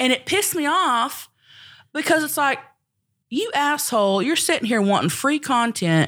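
Animated and at a moderate pace, a woman with a Southern US accent speaks in a high pitch with very wide pitch swings and long, frequent pauses. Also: very clean recording, silent background. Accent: Southern US (Oklahoma). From Oklahoma (rural southern Oklahoma). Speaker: comedian and internet personality. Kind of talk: casual chat.

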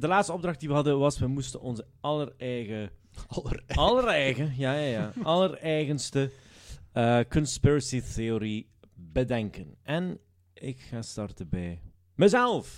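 An unremarkable speaking voice, lively intonation and a fairly slow pace. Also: man, fairly high pitch for a man. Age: 20s. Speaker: comedy podcast host. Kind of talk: casual chat.

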